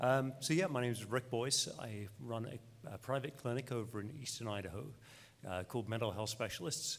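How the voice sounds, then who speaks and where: The speaker talks at a moderate pace with an English accent. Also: man, medium pitch for a man, ordinary pitch variation. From England. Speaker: clinical social worker, clinic owner. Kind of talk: panel discussion.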